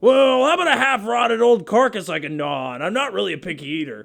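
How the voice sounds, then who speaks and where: A man uses a high-pitched, put-on character voice. He talks at a very fast pace with very wide pitch swings. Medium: audio drama. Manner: dopey.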